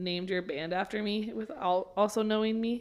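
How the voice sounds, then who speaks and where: Here a woman speaks with an American accent and a normal speaking voice. Her pitch is medium, her intonation fairly even, and her pace moderate. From Oklahoma. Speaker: podcast guest. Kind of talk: casual chat.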